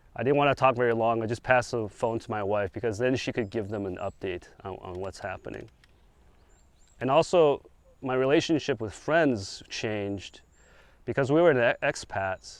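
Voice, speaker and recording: A man with a normal speaking voice and an American accent, medium pitch, ordinary pitch variation, moderate pace, quiet background. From China, moved to the US at seven. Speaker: speaker sharing his testimony. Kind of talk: testimony. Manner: casual, with frequent fillers and restarts.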